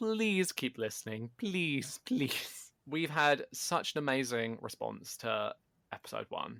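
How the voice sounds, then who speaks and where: The pace of this man's speech is fairly slow. Pitch variation stays ordinary. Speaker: podcast co-host. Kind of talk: casual chat. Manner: loud. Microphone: better microphone, picks up loud.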